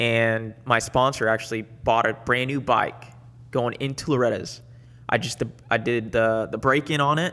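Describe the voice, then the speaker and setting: A man's plain, everyday voice at medium pitch, moderate in pace, with fairly even intonation. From Dominican Republic and Puerto Rico, then Florida from age 6-7. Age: 30s. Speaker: motocross racer. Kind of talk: casual chat. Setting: studio.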